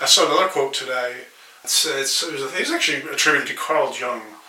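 A man's fairly high voice with fairly even intonation, plus audible room echo and noticeable background noise. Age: 40s. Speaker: podcast host's husband. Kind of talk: casual chat. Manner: halting.

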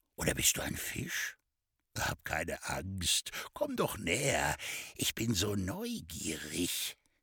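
A man speaks at a very slow pace. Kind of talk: literary audiobook reading of a satirical short story, narrated with dry irony. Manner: slightly animated, shifting tone for the characters' dialogue.

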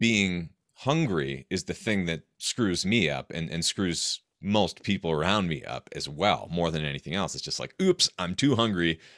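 With an American accent and vocal fry, the speaker keeps a moderate pace and ordinary pitch variation in a dry, close sound with no echo and a very clean recording with a silent background. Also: man. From US Northeast, rural New Hampshire. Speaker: author and health podcaster. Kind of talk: interview.

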